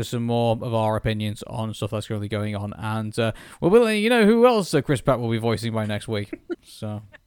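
Recorded very cleanly against a silent background, a man with a British accent talks at a fairly quick pace, his pitch swinging very widely. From Britain. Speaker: podcast co-host. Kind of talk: casual chat. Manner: halting, many fillers.

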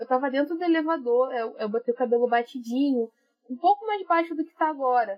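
With a high pitch and lively intonation, a woman talks at a fairly quick pace, her loudness swinging widely. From Brazil, Rio de Janeiro north zone. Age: 30s. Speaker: YouTube presenter and master's student. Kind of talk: casual chat.

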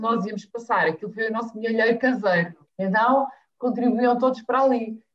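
A woman with a fairly high pitch speaks at a moderate pace with fairly even intonation in an ordinary speaking voice. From Azores, São Miguel. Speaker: family travel blogger. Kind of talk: casual interview chat.

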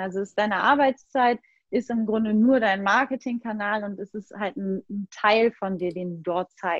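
A woman's normal speaking voice at medium pitch, moderate pace and fairly even intonation, with dry, close sound and no echo. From Hamburg, northern Germany. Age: 30s. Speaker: design coach and social media entrepreneur. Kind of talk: casual interview. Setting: video call.

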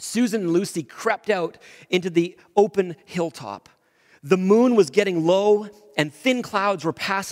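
Reading in a natural voice, the speaker uses ordinary pitch variation.

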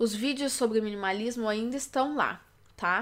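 Her voice raised and projected, a woman speaks at a moderate pace in a bright, sharp tone. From Brazil, Belo Horizonte, Minas Gerais. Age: 20s. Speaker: youtuber and podcaster. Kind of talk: podcast intro monologue.

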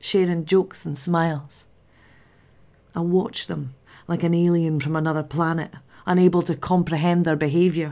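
A woman at a moderate pace, fairly low in pitch, with fairly even intonation. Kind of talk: dramatic monologue, reflective grief.

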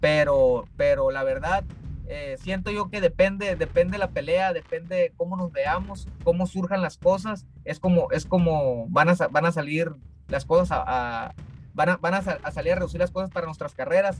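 The speaker, a man, has a high voice. Its pitch moves up and down in an ordinary way. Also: moderate pace. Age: 20s. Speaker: professional boxer. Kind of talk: interview. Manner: halting, many repetitions.

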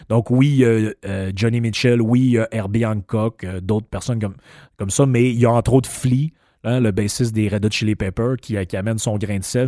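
A man with a Quebec accent speaks at a moderate pace in a dark, mellow tone with fairly even intonation. The recording is very clean, with a silent background. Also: medium pitch for a man, dry, close sound with no echo. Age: 50s. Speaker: podcast host. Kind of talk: casual monologue. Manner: halting.

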